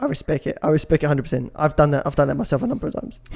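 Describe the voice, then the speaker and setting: The voice belongs to a man with a fairly high pitch. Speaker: podcast co-host. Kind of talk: casual chat.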